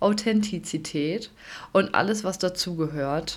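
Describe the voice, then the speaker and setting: Here a woman talks in a medium-pitched voice. Her pace is very slow. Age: 20s. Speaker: podcast host and kindergarten teacher. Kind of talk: solo podcast introduction. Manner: warm, enthusiastic.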